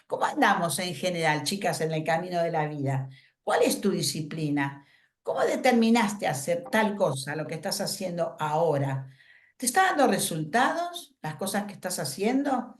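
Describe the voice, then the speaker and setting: A woman speaks at a fairly low pitch with very wide pitch swings. Her pace is moderate, and the room echo is audible. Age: 70s. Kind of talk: workshop talk.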